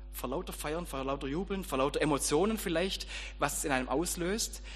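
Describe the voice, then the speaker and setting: Music sits behind a man who talks at a moderate pace. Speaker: preacher and school teacher. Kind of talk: sermon. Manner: informal, conversational, storytelling with light humor; audience-addressing, direct and warm.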